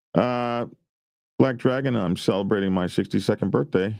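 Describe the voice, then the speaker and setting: A fairly quick pace in an American accent, against a quiet background. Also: man. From US South. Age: 60s. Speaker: YouTube biker news host. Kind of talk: casual livestream chat.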